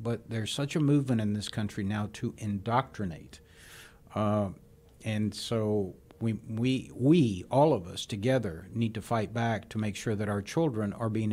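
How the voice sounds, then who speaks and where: A man with an American accent has a plain, everyday voice, a fairly low pitch, ordinary pitch variation and a moderate pace. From Houston, Texas (arrived from Cuba as a child). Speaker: former politician and air force veteran. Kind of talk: interview. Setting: studio.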